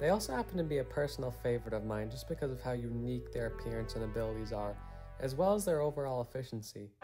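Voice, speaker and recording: Music runs in the background. Over it, a man talks very fast. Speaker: video game reviewer. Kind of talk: casual commentary narration.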